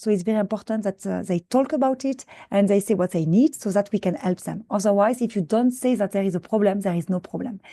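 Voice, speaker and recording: With a French accent, a woman speaks at a fairly high pitch with ordinary pitch variation, in a dry, close sound with no echo over a quiet background. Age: old. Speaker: scientist and mentor. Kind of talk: conference presentation. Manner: fast; halting, many fillers and repetitions.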